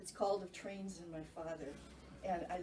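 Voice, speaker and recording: A woman amid audible room echo and noticeable background noise. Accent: American. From Minnesota, Saint Paul. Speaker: poet. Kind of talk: casual chat; poetry reading. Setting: stage with audience. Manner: loud.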